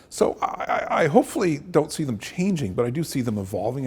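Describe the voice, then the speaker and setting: A man's somewhat breathy voice moves along fairly quickly, its intonation lively. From Canada, Acadian, army family. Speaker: university president. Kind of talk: interview. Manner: halting, many fillers and repeats.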